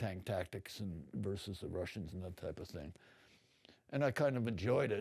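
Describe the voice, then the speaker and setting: An American accent marks this man's speech. His voice sits fairly low, with a dark, mellow tone. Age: 80s+. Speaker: Vietnam war veteran and artist. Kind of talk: interview. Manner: rambling, hesitant with fillers.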